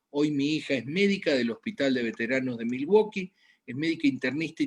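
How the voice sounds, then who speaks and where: His intonation is lively, and this man's pitch sits fairly high. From Argentina, Buenos Aires. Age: 60s. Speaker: medical doctor. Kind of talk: health lecture. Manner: halting, with frequent fillers.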